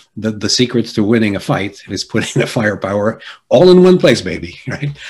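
A somewhat breathy male voice with an American accent, medium pitch and very wide pitch swings. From Jersey City, New Jersey. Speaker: executive coach and keynote speaker. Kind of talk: interview conversation.

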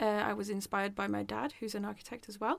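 The speaker is a woman. She talks with a Norwegian accent. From Norway. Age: 20s. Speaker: design student and podcast host. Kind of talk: casual chat. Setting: small room at school.

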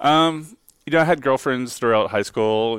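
A man talks at a fairly quick pace in a very clean recording with a silent background. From Texas, Dallas suburbs. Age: 40s. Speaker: corporate employee. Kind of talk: interview. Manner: hesitant, many fillers.

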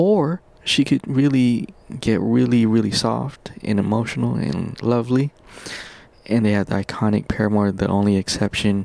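Through noticeable background noise, a man speaks at a moderate pace with lively intonation. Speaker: podcast host. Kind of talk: casual monologue. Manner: animated; halting.

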